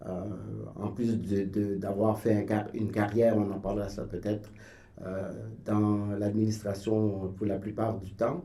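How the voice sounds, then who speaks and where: The voice has a dark, mellow tone and a very slow pace. Room echo is audible. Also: man. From Haiti, Port-au-Prince. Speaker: writer and painter. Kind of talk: radio interview. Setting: radio studio. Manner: halting, many hesitations.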